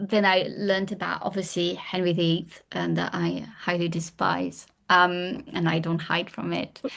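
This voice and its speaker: Against a quiet background, a woman speaks with a French accent. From France. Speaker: historian and author. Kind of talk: podcast interview.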